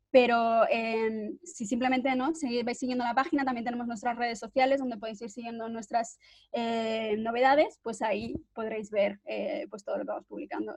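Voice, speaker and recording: A woman speaks with hardly any pauses. Her pitch varies in an ordinary way. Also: fairly high pitch for a woman, moderate pace. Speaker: journalist, cofounder of research collective. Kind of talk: webinar presentation. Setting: video call. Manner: hesitant, many fillers.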